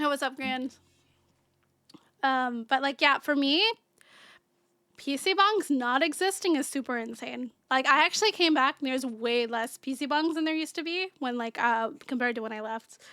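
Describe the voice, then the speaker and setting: A woman uses a raised, projected voice at a high pitch with a bright, sharp tone, speaking at a moderate pace with ordinary pitch variation and long, frequent pauses on a very clean recording with a silent background. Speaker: vtuber streamer. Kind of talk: casual chat. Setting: livestream. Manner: animated.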